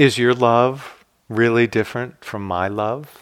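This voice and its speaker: The recording is very clean, with a silent background. The intonation stays fairly even. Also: man. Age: 60s. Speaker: meditation teacher. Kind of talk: dharma talk. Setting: meditation hall at retreat.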